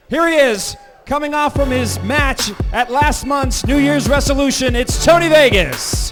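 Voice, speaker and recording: With music playing in the background, a man speaks in an upbeat tone at a fairly slow pace. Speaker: ring announcer. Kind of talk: wrestling ring announcement. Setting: live arena PA. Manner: upbeat, hyping the crowd.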